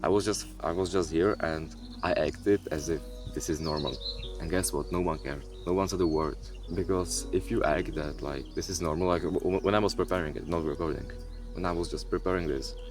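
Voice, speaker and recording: A man with a non-native accent speaks in a very deep, low pitch at a fairly quick pace. His intonation is lively, with music in the background. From Europe. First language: not English. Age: young. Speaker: content creator. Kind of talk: casual vlog monologue. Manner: halting, with repetitions.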